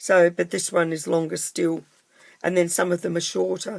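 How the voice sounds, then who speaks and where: Speaking at a moderate pace, a woman talks in an Australian accent. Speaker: papercraft tutor. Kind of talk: tutorial. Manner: casual, chatty.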